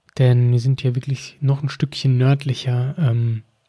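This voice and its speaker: A man talks at a fairly slow pace in a somewhat breathy voice of medium pitch. The sound is dry and close, with no echo. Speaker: wine podcast host. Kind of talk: solo educational podcast. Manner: frequent filler hesitations.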